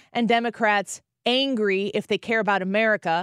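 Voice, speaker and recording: At a fairly quick pace, a woman speaks with a fairly high pitch. The recording is very clean, with a silent background and a dry, close sound with no echo. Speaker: radio host. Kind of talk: angry political rant. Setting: studio. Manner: fiery, impassioned.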